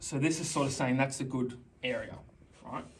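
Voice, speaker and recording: With audible room echo, a man speaks at a moderate pace, his fairly high pitch held in fairly even intonation. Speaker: teacher. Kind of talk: tutorial. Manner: loud.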